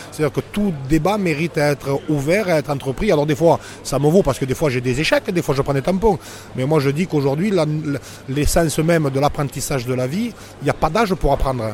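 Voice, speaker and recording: Against noticeable background noise, a man talks at a very fast pace in a fairly high pitch with ordinary pitch variation. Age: 40s. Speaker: former rugby player and shop owner. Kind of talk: casual interview. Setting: bar. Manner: halting, many repetitions.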